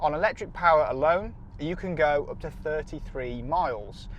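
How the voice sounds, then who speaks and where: A man talks with an English accent. Noticeable background noise runs behind him. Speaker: car reviewer. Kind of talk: car review to camera while driving. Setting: in a car. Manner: loud; enthusiastic.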